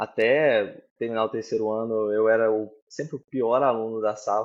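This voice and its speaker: In a quiet background, a man speaks at a medium pitch and a moderate pace. His intonation is monotone and flat. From Brazil, southern Minas Gerais. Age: 30s. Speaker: tech manager. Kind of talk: interview. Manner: hesitant, many fillers.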